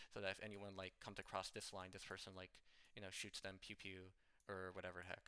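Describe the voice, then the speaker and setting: A man speaks with fairly low pitch. His tone is bright and sharp. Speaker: competitive video game player and coach. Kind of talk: improvised tutorial. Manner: fast; rambling with many fillers.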